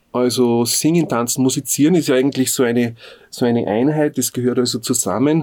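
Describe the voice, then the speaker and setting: Medium-pitched man's voice, dark and mellow, with fairly even intonation and very even loudness. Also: fairly quick pace. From Upper Austria, Innviertel. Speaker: folk musician and music teacher. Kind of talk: interview. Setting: studio. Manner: halting, many filler sounds.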